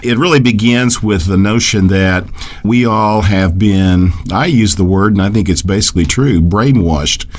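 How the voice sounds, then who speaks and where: There is noticeable background noise and audible room echo. A man talks at a moderate pace, his fairly low voice showing ordinary pitch variation. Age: 60s. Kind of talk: radio interview. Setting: radio broadcast.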